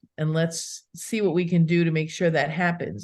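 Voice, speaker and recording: A woman's normal speaking voice, fairly low in pitch, at a moderate pace over a quiet background. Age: 60s. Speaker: attorney and pet planning speaker. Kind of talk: podcast interview. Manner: conversational with fillers.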